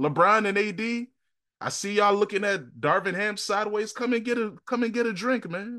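A man with an American accent uses a raised, projected voice that is high in pitch. His tone is bright and sharp, and his pace is moderate. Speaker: podcast host. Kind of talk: casual sports banter; pep talk, comic invitation to stressed fans. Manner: hype-man energy, rallying.

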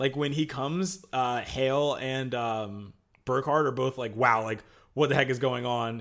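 Here is a man with a plain, everyday voice at medium pitch. He talks at a fairly slow pace with fairly even intonation. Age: 20s. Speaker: podcast host. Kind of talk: casual chat.

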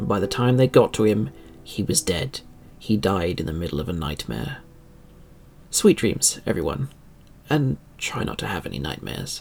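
Here a man's fairly low voice swings very widely in pitch, with vocal fry. He keeps a moderate pace with long, frequent pauses. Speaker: podcast host. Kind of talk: scripted horror-tinged true-crime narration. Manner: dramatic, eerie, measured storytelling; formal, theatrical, ominous tone.

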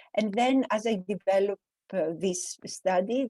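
A woman with a Greek accent speaks at a very slow pace and a medium pitch, with ordinary pitch variation, in a dry, close sound with no echo. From Greece, small village. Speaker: professor. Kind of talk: interview.

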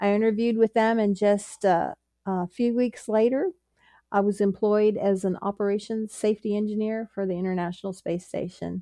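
A woman with an American accent speaks at a moderate pace with medium pitch and fairly even intonation, her tone dark and mellow. The sound is dry and close with no echo, over a quiet background. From US, Pittsburgh, Pennsylvania. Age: 60s. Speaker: engineer and ministry volunteer. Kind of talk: interview testimony.

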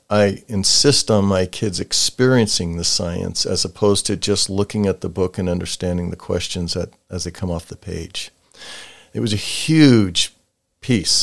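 This man has a very deep, low pitch and an American accent. He talks at a moderate pace with ordinary pitch variation. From US Pacific Northwest (Portland, Lakewood WA). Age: 70s. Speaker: retired science teacher. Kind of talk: casual interview. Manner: animated.

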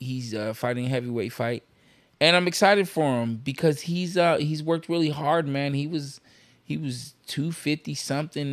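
Here is a man with an ordinary speaking voice. His pitch is fairly high, with ordinary variation, at a moderate pace. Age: 40s. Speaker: MMA fighter and podcast co-host. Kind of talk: casual chat.

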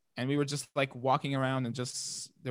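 On a very clean recording with a silent background, a man with an Arabic accent speaks at medium pitch in a monotone, flat way. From Palestine. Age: 20s. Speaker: student and former soccer player living abroad. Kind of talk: casual interview.

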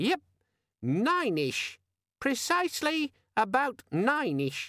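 Putting on a character voice, a man goes squeaky at an extremely high pitch and speaks at a fairly slow pace. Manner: cheerful, friendly.

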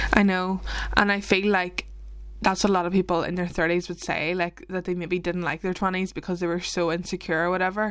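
This woman has a Northern Irish accent and a medium pitch. She moves at a fairly quick pace in a monotone, flat delivery. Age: 20s. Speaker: podcast co-host. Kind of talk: casual chat. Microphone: mic not as good as co-host's.

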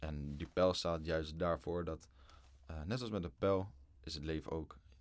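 Very deep and low, a man's voice moves with ordinary pitch variation at a fairly slow pace. The recording is very clean, with a silent background. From Netherlands, Lelystad. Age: 20s. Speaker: student. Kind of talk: casual chat.

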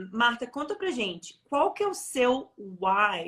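At a very slow pace, a woman speaks with very wide pitch swings. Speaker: interview host. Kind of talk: interview. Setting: live online stream.

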